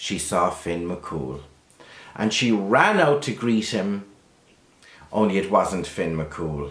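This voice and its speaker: With a Kerry accent, a man talks at a very slow pace, his pitch swinging very widely. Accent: Irish, Kerry. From Ireland. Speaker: storyteller. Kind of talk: traditional folk tale telling to camera.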